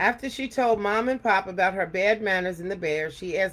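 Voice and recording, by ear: Someone reads aloud in a natural voice. The pitch rises and falls in an ordinary way.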